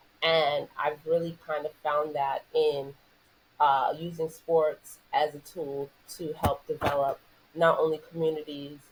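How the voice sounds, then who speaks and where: Her pitch very deep and low, a woman with a New York accent talks at a fairly slow pace in a monotone, flat intonation. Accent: New York American. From New York City. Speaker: former basketball player, sports entrepreneur. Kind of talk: podcast interview.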